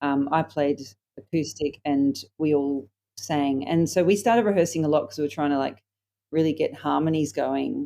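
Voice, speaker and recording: A woman with an Australian accent, very deep and low in pitch, with a dark, mellow tone, ordinary pitch variation and a moderate pace. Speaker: singer-songwriter. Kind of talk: interview. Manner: hesitant, many fillers.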